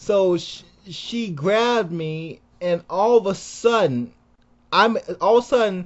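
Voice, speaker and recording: An animated man with lively intonation. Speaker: YouTuber. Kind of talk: casual storytelling monologue. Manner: halting, repeating words.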